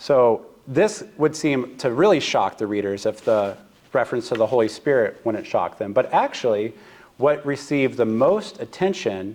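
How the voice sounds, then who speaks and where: Using very wide pitch swings, a man with an American accent speaks at a moderate pace and medium pitch. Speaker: seminary professor. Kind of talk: lecture. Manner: hesitant, frequent fillers.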